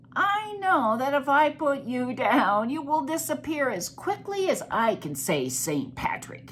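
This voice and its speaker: Someone doing a put-on character voice at a high pitch speaks at a fairly slow pace over clear background noise. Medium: read story.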